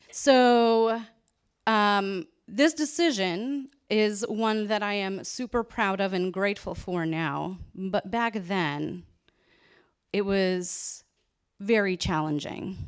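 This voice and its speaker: In a very clean recording with a silent background, a woman at medium pitch talks at a very slow pace with lively intonation. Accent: General American. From US, Los Angeles area. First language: Polish. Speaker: photographer and keynote speaker. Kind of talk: keynote talk. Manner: casual, many fillers.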